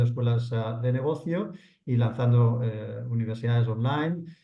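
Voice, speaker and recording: A man speaks in a dark, mellow tone that is somewhat breathy. His pitch moves in an ordinary way, with audible room echo around him. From Spain, Barcelona. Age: 50s. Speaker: entrepreneur. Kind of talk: podcast interview. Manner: hesitant, many fillers.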